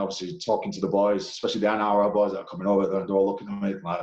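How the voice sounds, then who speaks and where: Amid noticeable background noise, a man talks very fast with a strong English accent. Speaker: professional rugby league player. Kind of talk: casual interview chat. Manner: halting, many fillers.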